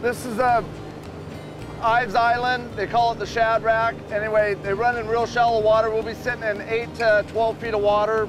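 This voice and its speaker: A man with a high pitch and monotone, flat intonation at a moderate pace, dry sound with no echo, clear music behind him. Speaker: fishing guide. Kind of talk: interview answer. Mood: relaxed, friendly. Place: boat.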